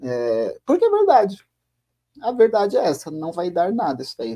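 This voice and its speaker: A man's high-pitched voice with a dark, mellow tone and very wide pitch swings, at a moderate pace against a quiet background. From Brazil. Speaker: podcast co-host. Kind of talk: casual chat. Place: home room. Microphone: video call.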